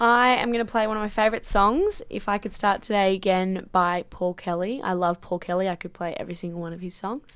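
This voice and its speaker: A woman with an Australian accent talks at a fairly quick pace with hardly any pauses, her medium-pitched voice keeping a fairly even intonation. The recording is very clean, with a silent background. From grew up overseas in a hot climate, later Sydney. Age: 20s. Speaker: professional women's Australian football player and student. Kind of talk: radio interview.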